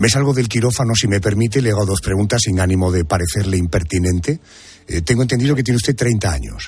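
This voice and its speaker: A man speaks very fast in a fairly low pitch, somewhat breathy. His intonation is lively and his loudness very even. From Andalusia. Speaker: radio host. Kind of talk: interview. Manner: formal.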